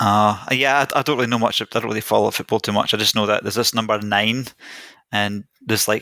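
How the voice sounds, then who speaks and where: A man with a Scottish accent talks very fast in a fairly low, bright, sharp voice and a monotone, flat intonation. The recording is very clean, dry and close, with no echo and a silent background. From Scotland (Greek-born, moved at three). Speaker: investor and podcaster. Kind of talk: casual interview chat.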